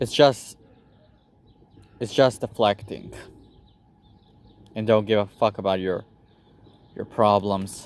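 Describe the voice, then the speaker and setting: Speaking at a very slow pace with long, frequent pauses, a man with a non-native accent uses a fairly low pitch and fairly even intonation. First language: not English. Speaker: YouTuber. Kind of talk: personal vlog monologue. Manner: halting.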